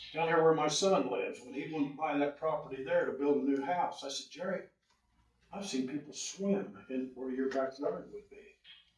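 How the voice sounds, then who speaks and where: A man with a Midwestern US accent, fairly high pitch, ordinary pitch variation, a moderate pace and big swings in loudness. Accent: rural Midwestern US. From Indiana. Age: 70s. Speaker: local resident. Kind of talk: public comment at a town meeting. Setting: town council public hearing.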